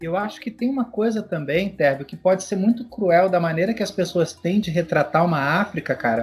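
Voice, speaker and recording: The man has a high pitch and lively intonation. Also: fairly quick pace, hardly any pauses. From Brazil. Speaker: podcast host and long-distance cycle traveller. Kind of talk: casual interview conversation.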